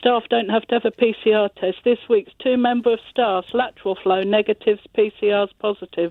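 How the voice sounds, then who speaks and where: A woman with a British accent speaks at a fairly quick pace with hardly any pauses, her fairly high pitch carrying monotone, flat intonation at very even loudness. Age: 60s. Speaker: care home nurse. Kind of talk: radio phone-in.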